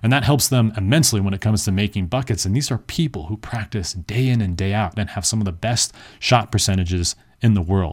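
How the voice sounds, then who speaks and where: On a very clean recording with a silent background, a man talks at a very fast pace in a fairly low pitch, somewhat breathy and with ordinary pitch variation. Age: 30s. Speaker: podcast host and dating coach. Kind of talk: sales pitch; casual monologue. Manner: rambling, informal.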